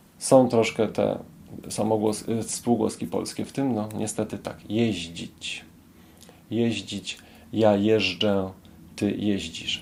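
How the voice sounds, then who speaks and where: A man speaks with a fairly low pitch. His pace is very slow. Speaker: Polish language teacher. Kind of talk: language lesson. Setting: club cafe after a meetup.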